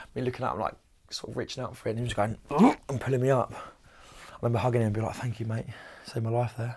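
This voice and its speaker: A somewhat breathy voice at a very fast pace with monotone, flat intonation. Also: man, medium pitch for a man. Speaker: program participant. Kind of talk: testimony.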